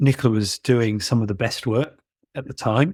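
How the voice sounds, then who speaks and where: A man with a British accent at medium pitch and a moderate pace, on a very clean recording with a silent background. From England, London. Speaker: barrister. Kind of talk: interview. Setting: podcast.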